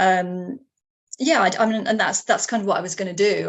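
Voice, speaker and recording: The speaker has a southern English accent. The pace is very fast. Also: woman. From England. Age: 60s. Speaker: writer. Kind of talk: interview. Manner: halting, many fillers.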